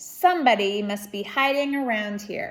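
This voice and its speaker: A woman uses a put-on character voice. Her intonation is lively and her pace moderate. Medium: read story.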